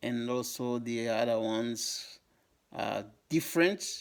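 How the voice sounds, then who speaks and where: Ordinary pitch variation in a Congolese accent. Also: man. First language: Lingala. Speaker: YouTuber on African history. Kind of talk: educational talk to camera. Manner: halting, many fillers.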